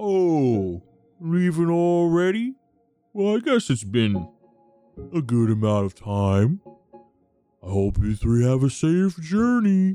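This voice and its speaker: A man puts on a character voice, pitched fairly high for a man, with very wide pitch swings, a fairly slow pace, long and frequent pauses, and faint music in the background. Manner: friendly farewell.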